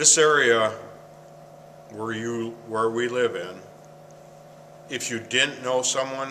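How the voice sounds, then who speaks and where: A man with an Upper Midwest accent talks at a fairly slow pace in a medium pitch, with fairly even intonation and noticeable background noise. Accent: Upper Midwest American. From Michigan, US Midwest. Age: 60s. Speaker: former paper mill worker. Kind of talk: interview. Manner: halting.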